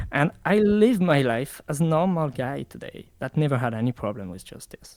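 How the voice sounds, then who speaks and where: A man with a French accent speaks at a moderate pace in a fairly high voice, his pitch swinging very widely and his loudness rising and falling sharply. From France. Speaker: interviewee, online community member. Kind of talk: interview. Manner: halting.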